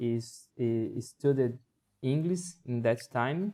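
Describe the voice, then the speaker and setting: A man's dark, mellow tone at medium pitch, in a Portuguese accent. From Brazil. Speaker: English learner. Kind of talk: casual chat. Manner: halting, frequent repetitions and fillers.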